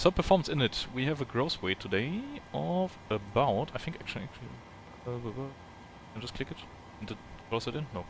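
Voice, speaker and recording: A man at a medium pitch, very fast yet with long, frequent pauses, lively intonation and big swings in loudness, over noticeable background noise. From Germany. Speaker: flight sim streamer. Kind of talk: live gameplay commentary. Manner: casual thinking aloud.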